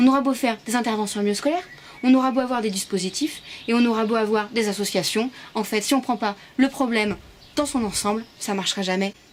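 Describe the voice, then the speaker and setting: Her pace very fast, a woman talks at a fairly high pitch. Noticeable background noise is present. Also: ordinary pitch variation. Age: 20s. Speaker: activist giving a performed lecture. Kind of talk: pitch presenting her talk. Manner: animated.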